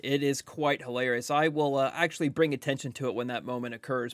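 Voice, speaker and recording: Against a quiet background, a man with a fairly high pitch speaks at a fairly quick pace. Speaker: gaming youtuber. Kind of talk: scripted intro to video; gameplay commentary with teammates. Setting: recorded late at night at home. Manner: quiet, keeping voice down. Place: home room.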